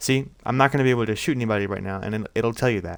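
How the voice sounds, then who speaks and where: In a very clean recording with a silent background, a man talks. His medium pitch shows ordinary pitch variation. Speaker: gaming YouTuber. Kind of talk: tutorial. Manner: halting, self-admitted stuttering; casual, filler-heavy.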